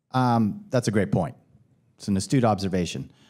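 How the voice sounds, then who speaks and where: A plain, everyday voice speaks at a moderate pace with ordinary pitch variation on a very clean recording with a silent background. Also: man. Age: 40s. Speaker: venture capital investor. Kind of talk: panel discussion.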